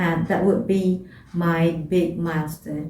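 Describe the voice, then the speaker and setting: A woman speaks at a very slow pace. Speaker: student vlogger. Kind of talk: advice vlog. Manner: halting, many fillers.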